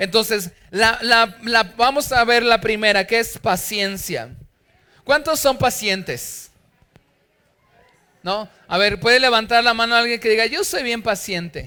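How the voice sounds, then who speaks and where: Projecting a raised voice with an extremely high pitch, a man speaks in an animated, bright, sharp tone with ordinary pitch variation and long, frequent pauses. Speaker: pastor. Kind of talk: sermon. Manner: loud.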